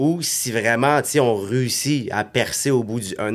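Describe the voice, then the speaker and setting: Recorded very cleanly against a silent background, a man talks in an ordinary speaking voice at a medium pitch with fairly even intonation. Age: 30s. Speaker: network marketing entrepreneur. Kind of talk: casual chat.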